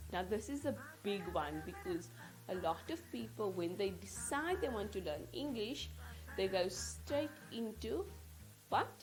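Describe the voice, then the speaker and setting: A woman speaks very slowly in a South African accent. Music plays in the background. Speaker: English teacher. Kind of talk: tutorial.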